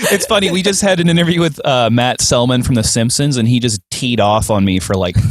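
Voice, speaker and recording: A man's voice with hardly any pauses and very wide pitch swings, over noticeable background noise. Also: medium pitch for a man, fairly quick pace, very even loudness. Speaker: comedian and podcast host. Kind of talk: casual interview chat.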